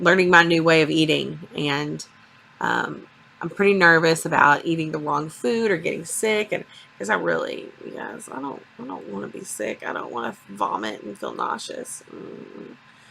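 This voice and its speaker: At a moderate pace, a woman speaks with big swings in loudness amid noticeable background noise. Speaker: vlogger. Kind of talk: vlog. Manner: hesitant.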